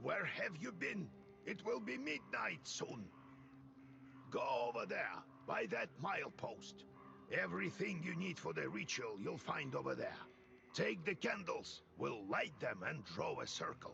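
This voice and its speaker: A raspy, put-on character voice speaks at a moderate pace with clear background noise behind it. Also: man. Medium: video game. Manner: gruff, commanding.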